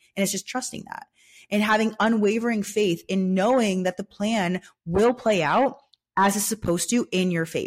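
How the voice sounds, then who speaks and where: In a very clean recording with a silent background and a dry, close sound with no echo, a woman speaks at a moderate pace with an animated tone. Her medium-pitched voice is somewhat breathy, with ordinary pitch variation. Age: 20s. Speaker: podcast host. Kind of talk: casual solo monologue.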